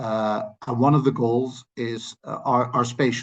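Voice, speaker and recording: A Dutch accent shapes this voice. It is a man who speaks. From Netherlands. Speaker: land policy expert. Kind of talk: lecture. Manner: halting.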